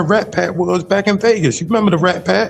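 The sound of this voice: Vocal fry with ordinary pitch variation. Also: man.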